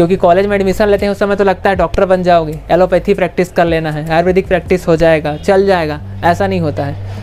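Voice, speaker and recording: A high-pitched man's voice at a moderate pace with fairly even intonation and hardly any pauses, over light background noise. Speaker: vlogger on medical careers. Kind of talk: opinion vlog rant. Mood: frustrated, venting. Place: street. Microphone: lapel.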